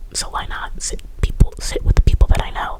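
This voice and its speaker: Whispering, a woman speaks over noticeable background noise. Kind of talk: ASMR whispered storytime ramble. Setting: quiet room with air conditioner hum in the background. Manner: whispered, rambling, casual chatty.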